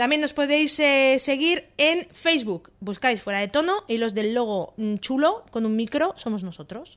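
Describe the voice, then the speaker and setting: A woman with a high voice speaks at a fairly slow pace with hardly any pauses and very wide pitch swings. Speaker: radio co-host. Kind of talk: casual chat. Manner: holding back volume to spare voice.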